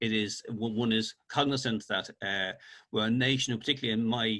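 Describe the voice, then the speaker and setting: Speaking at a fairly quick pace in a Dublin accent, a man has a bright, sharp tone and fairly even intonation. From Ireland, Dublin (Finglas). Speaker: author. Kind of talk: interview. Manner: halting, repetitive starts.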